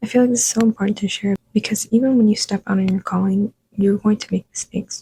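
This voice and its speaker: Dry and close with no echo, a woman's dark, mellow, somewhat breathy voice moves at a fairly quick pace with monotone, flat intonation. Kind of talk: devotional talk to camera.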